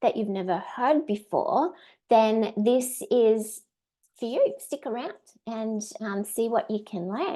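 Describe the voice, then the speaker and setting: A woman speaks in an Australian accent at a high pitch and a very slow pace. The background is quiet. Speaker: direct sales trainer. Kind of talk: webinar training. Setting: live stream.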